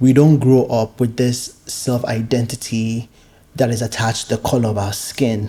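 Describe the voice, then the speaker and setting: The voice is somewhat breathy with a dark, mellow tone. It moves at a moderate pace with monotone, flat intonation. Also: man, medium pitch for a man. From Nigeria. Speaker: podcast host. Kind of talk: solo podcast monologue. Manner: hesitant, many fillers.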